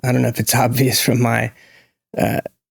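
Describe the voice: A man with an American accent speaks at a medium pitch in a flat monotone with vocal fry. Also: moderate pace.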